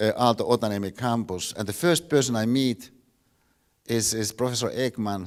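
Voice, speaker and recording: With a Finnish accent, a man talks at a moderate pace and a medium pitch. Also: ordinary pitch variation. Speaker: philosophy professor. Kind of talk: lecture. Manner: halting, many repeated words.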